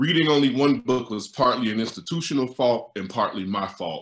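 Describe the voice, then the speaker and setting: In an American accent, a man with a normal speaking voice, medium pitch and lively intonation talks at a moderate pace. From West Virginia (small town). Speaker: novelist and writing teacher. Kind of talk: reading aloud of own essay. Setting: video call.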